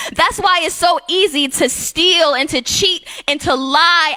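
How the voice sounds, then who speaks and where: The voice is raised and projected, with lively intonation. It moves at a fairly slow pace over noticeable background noise. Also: woman. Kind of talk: spoken word poetry performance in a church. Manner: rhythmic, rhyming, preaching delivery.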